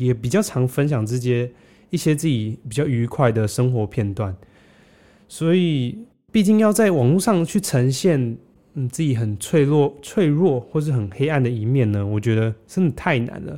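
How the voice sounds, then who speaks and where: On a very clean recording with a silent background, a man speaks at a moderate pace. His medium-pitched voice has a dark, mellow tone and lively intonation. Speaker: podcast host, product designer. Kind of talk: casual solo monologue.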